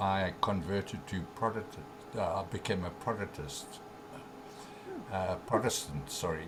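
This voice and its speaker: A man's very deep, low voice with ordinary pitch variation, a fairly slow pace, long, frequent pauses, audible room echo and noticeable background noise. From South Africa. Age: 70s. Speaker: author and spiritual teacher. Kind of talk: interview. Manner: halting, many fillers.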